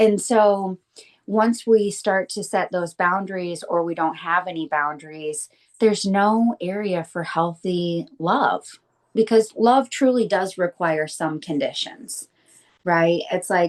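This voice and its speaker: A woman with a plain, everyday voice speaks at a fairly slow pace in an American accent, her pitch medium with ordinary variation. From Michigan. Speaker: estrangement coach. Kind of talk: interview.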